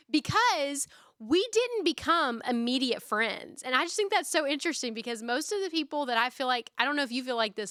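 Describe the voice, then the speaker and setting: Raised and projected, a woman's high, bright, sharp voice with a Southern US accent moves at a fairly quick pace with hardly any pauses and lively intonation, in a very clean recording with a silent background. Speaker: podcast host. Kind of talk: casual chat. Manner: loud.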